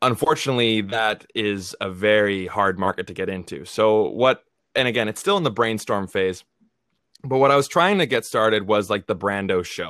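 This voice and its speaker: An unremarkable speaking voice moves at a moderate pace. Its pitch variation is ordinary. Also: man, fairly low pitch for a man. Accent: Canadian. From Canada. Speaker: movie review YouTuber. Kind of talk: casual interview chat.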